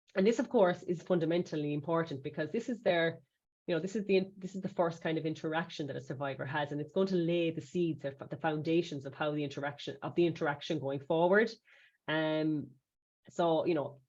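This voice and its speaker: A woman talks at a fairly quick pace with an Irish accent. Her pitch is very deep and low. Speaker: safeguarding trainer. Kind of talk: webinar presentation. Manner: fast; hesitant, with many fillers.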